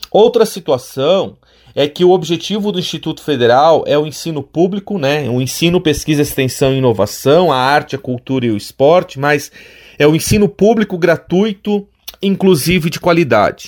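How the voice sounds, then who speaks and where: Speaking at a moderate pace, a man uses lively intonation in an unremarkable speaking voice pitched fairly high. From Santa Catarina, Alto Vale region. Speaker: college professor and administrator. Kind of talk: radio interview. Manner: formal.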